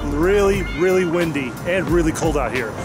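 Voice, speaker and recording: A man talks at a fairly quick pace. Clear music plays behind a dry sound with no echo. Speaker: travel vlogger. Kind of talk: casual vlog chat. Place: street. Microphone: phone near.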